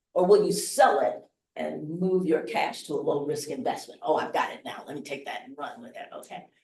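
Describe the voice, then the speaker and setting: Vocal fry runs through this woman's voice. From US Midwest, Chicago. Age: 70s. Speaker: investing speaker. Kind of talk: workshop talk. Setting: hotel event room with live audience.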